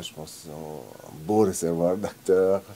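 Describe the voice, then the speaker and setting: A man with an Italian accent, fairly slow pace and ordinary pitch variation. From Italian-speaking Switzerland, Lugano. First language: Italian (speaking French). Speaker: film director. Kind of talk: interview.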